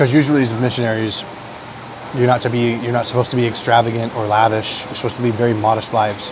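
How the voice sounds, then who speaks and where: A man with an American accent speaks quietly at a medium pitch and a very fast pace. Noticeable background noise and audible room echo surround his voice. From United States. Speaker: food vlogger. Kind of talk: casual chat.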